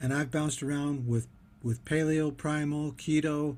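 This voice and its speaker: This man speaks at a moderate pace with a fairly high pitch and fairly even intonation. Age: 60s. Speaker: diet vlogger. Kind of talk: casual monologue. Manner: halting, many fillers.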